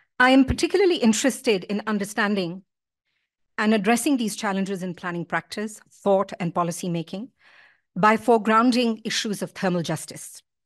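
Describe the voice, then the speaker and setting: A woman at a fairly quick pace, with ordinary pitch variation and a quiet background. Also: medium pitch for a woman. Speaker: academic keynote speaker; keynote speaker. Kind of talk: lecture. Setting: stage with audience. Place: hall. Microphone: podium.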